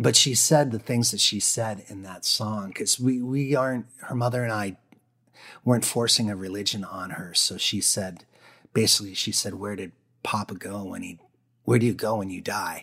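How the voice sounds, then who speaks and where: A breathy man's voice with an American accent, bright and sharp in tone, big swings in loudness, ordinary pitch variation and a moderate pace, on a very clean recording with a silent background. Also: fairly low pitch for a man. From northern Maine, US. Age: 50s. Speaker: singer-songwriter. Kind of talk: interview conversation.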